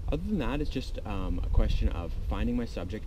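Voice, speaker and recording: Against noticeable background noise, a man talks fairly quickly in a dry sound with no echo. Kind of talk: tutorial. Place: beach. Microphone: phone near.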